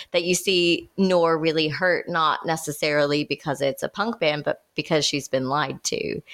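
In an unremarkable speaking voice, a woman with a fairly low pitch talks at a moderate pace, her intonation fairly even and her loudness very even, with hardly any pauses and a dry, close sound with no echo. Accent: American. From United States. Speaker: podcast host and screenwriter. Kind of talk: casual chat.

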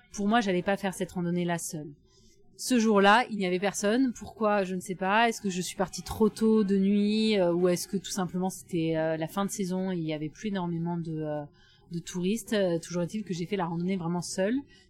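A woman speaks at a fairly quick pace with fairly even intonation and a medium pitch. Music plays in the background. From southwest France, near Bordeaux. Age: 30s. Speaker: solo adventure traveller, former lawyer. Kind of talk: interview testimony. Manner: hesitant, many fillers. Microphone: mediocre sound quality from recording problem.

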